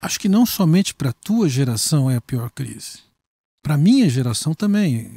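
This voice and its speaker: Somewhat breathy and dark, mellow in tone, a man speaks fairly slowly at a fairly high pitch with very wide pitch swings and a dry, close sound with no echo. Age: 60s. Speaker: pastor. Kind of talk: interview conversation.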